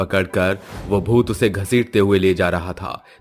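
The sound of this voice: The speaker reads in an unforced reading voice.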